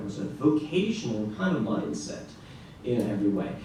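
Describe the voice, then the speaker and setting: Against audible room echo and noticeable background noise, a man with a Norwegian accent speaks at a medium pitch. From Norway, Arendal. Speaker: classical guitarist. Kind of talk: conference presentation. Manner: halting, with filler words.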